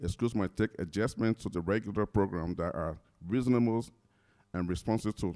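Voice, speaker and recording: Dry and close with no echo, a man's fairly low voice carries ordinary pitch variation. He talks at a moderate pace. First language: not English. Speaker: college staff presenter. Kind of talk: staff training presentation. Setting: room with large audience.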